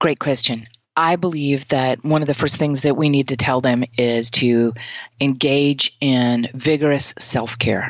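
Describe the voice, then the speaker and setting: Her pitch very deep and low, a woman talks at a fairly slow pace with very even loudness and fairly even intonation. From US Deep South, Mississippi. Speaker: therapist, tapping practitioner. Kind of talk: interview. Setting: remote call.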